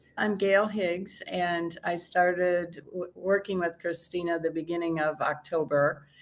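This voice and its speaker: A woman's fairly low-pitched, plain, everyday voice with fairly even intonation. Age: 60s. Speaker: program client. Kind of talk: interview. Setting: outdoors.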